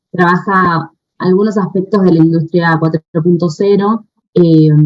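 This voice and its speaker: Delivered with an Argentine accent, the speech is monotone and flat, very even in loudness, and at a fairly slow pace. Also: woman, fairly low pitch for a woman. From Argentina. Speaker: researcher. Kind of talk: conference talk. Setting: video call. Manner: hesitant, many fillers.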